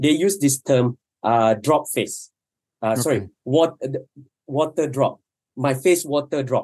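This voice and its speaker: A man with a fairly high voice and ordinary pitch variation speaks fairly slowly, leaving long, frequent pauses. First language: Malay. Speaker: documentary filmmaker. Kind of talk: casual panel discussion. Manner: halting.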